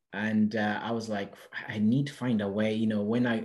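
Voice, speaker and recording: A man with a Portuguese accent, fairly low in pitch, at a fairly quick pace. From Portugal. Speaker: property investor. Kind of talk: podcast interview. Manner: halting.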